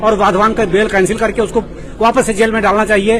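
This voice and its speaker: There is noticeable background noise. A man speaks with a high pitch. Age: 70s. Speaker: protesting homebuyer. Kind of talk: protest interview.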